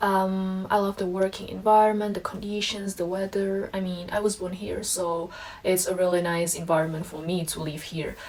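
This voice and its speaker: A woman speaks at a moderate pace in a monotone, flat intonation. Noticeable background noise runs under her voice. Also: medium pitch for a woman. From Vietnam, after early childhood in Czech Republic. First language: Czech, later Vietnamese. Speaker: vlogger. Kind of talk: casual Q&A vlog. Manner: casual with frequent fillers.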